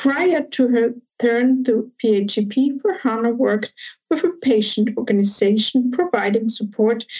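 Speaking in a German accent, a woman has a dark, mellow tone, a fairly high pitch, ordinary pitch variation and a fairly slow pace. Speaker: podcast host, managing director of a self-care industry association. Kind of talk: interview. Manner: formal.

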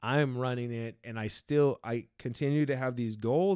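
A man talks at a medium pitch with a dark, mellow tone. His pitch varies in an ordinary way. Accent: American. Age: 30s. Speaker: podcast host and therapist. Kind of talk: casual conversation, personal life story.

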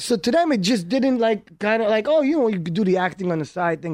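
In an Israeli accent, a man speaks at a fairly quick pace with a high pitch. His intonation is lively against a quiet background. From Israel (Haifa), then Brooklyn, New York from age nine. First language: Hebrew. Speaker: entrepreneur and film producer. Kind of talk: casual chat.

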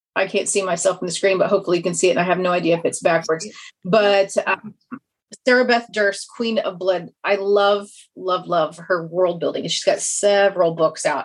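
A woman talks with a Kansas accent at a moderate pace. Her pitch is medium and her intonation fairly even. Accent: Kansas twang, mild Midwestern. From Kansas, US. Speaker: fantasy author. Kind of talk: interview chat.

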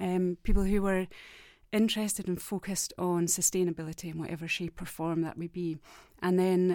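Very clean recording with a silent background: a woman's fairly low pitch, monotone, flat intonation and fairly quick pace. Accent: Scottish. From Scotland. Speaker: academic researcher. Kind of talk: casual chat.

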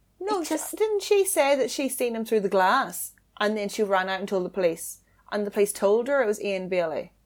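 In a plain, everyday voice, a woman speaks at a fairly quick pace. Her pitch is fairly high and her intonation lively. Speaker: podcast co-host. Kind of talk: casual chat.

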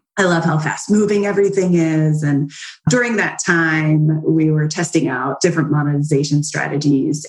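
Speaking with an American accent, a woman has a very deep, low pitch. Her pace is moderate, with ordinary pitch variation. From southern New Jersey. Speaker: business founder, affiliate marketing expert. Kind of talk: interview.

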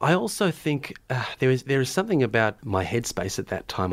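With an Australian accent and lively intonation, a man speaks at a moderate pace on a very clean recording with a silent background. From Melbourne, Australia. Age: 30s. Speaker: novelist and teacher. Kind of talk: interview. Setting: studio.

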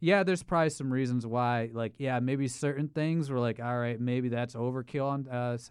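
A man with an American accent talks at a fairly quick pace in a normal speaking voice. His pitch is medium with ordinary variation, and the background is quiet. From Ohio. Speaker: social media creator. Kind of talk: casual chat.

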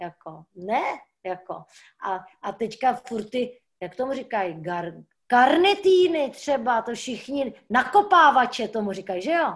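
Very slowly, a woman delivers her words. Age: 60s. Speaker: stuntwoman. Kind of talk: casual chat. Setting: video call.

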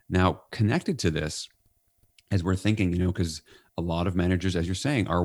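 In a very clean recording with a silent background, a man with an American accent speaks at a very deep, low pitch with fairly even intonation. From New York. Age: 50s. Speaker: leadership author and consultant. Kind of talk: podcast interview.

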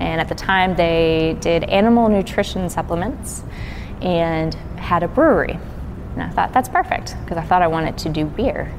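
A woman talks at a moderate pace. Noticeable background noise and audible room echo surround her voice. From Kentucky, near Cincinnati. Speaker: distiller. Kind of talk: interview.

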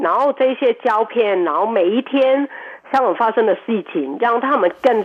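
A woman with a fairly high pitch speaks at a fairly slow pace, her intonation lively. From Hong Kong. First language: Cantonese (speaking Chinese). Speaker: restaurant owner and cook. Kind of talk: radio interview. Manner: hesitant, many fillers.

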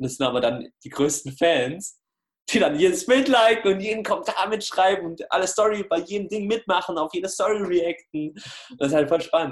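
Lively intonation and a moderate pace in a male voice pitched high. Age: 20s. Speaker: anti-bullying coach. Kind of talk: interview. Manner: casual.

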